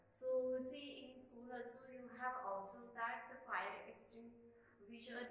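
A woman at a fairly slow pace, in strong room echo. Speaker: school teacher. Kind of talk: lecture. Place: classroom. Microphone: camera far.

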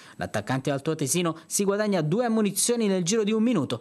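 In a dramatic tone, a man speaks at a fairly quick pace. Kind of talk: sports news voiceover; match highlights narration. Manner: formal, brisk, dramatic narration with ironic touches.

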